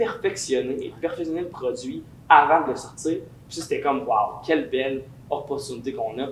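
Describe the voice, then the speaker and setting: A man speaking at a fairly quick pace in a Quebec accent, with noticeable background noise and audible room echo. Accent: Québécois French. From Quebec, Lévis. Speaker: singer and musician. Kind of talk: interview. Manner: casual, many fillers.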